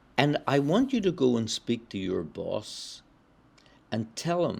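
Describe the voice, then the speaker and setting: On a very clean recording with a silent background, a man with a Belfast accent talks at a fairly slow pace, his pitch swinging very widely. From Northern Ireland, Belfast. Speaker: spiritual practitioner, former publisher. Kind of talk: interview storytelling. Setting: podcast interview.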